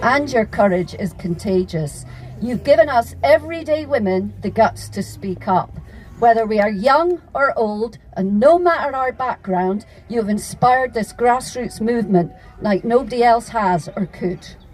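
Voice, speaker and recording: Lively intonation carries this voice with a Scottish accent as music plays in the background. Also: woman, fairly high pitch for a woman, moderate pace. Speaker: activist speaker. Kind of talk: public speech at a rally. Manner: impassioned.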